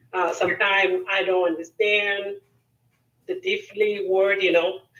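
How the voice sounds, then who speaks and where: Speaking at a mid-range pitch, a woman has a non-native accent. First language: not English. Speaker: student caller. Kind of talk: casual chat. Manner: halting.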